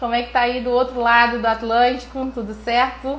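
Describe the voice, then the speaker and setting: In a Brazilian accent, a woman with a fairly high pitch speaks in an animated tone amid audible room echo. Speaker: neuroradiologist teaching online. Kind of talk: live stream lecture. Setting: live stream. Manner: fast.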